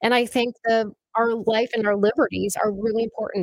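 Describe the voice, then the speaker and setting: Fairly quick delivery with an American accent, the sound dry and close with no echo. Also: woman. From northern Minnesota, Clearwater County. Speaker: state legislator. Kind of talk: casual chat. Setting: studio.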